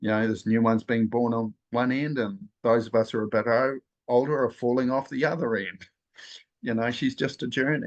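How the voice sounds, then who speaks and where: Against a quiet background, a man talks in an unremarkable speaking voice. His medium pitch carries fairly even intonation at a fairly quick pace. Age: 60s. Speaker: spiritual nature guide. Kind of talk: group sharing circle talk.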